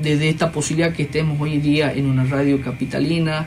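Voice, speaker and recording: A man talks at a fairly quick pace in a monotone, flat intonation. Music plays in the background, and the room echo is audible. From Argentina, Trancas, Tucumán. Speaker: sports club leader. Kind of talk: radio interview. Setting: radio studio.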